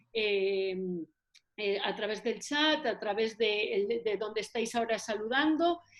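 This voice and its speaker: The voice belongs to a woman. It is an unremarkable speaking voice. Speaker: local councillor. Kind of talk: online event introduction. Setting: virtual meeting.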